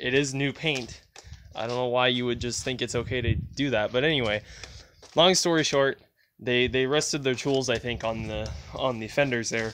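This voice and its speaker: A man speaks at a moderate pace with fairly even intonation. Light background noise is present. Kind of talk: casual vlog chat. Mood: mildly annoyed, storytelling. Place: street. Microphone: phone near.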